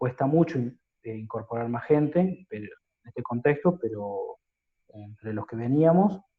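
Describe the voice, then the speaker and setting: There's a somewhat breathy quality to this man's voice. He keeps to a moderate pace. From Catamarca, Argentina. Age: 30s. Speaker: lawyer. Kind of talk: interview answer.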